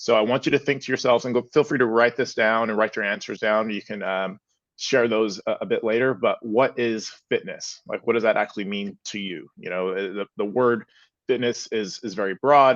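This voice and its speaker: With a normal speaking voice and an American accent, a man talks at a moderate pace and medium pitch. The sound is dry and close with no echo, over a quiet background. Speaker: fitness and sleep expert. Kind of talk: seminar talk.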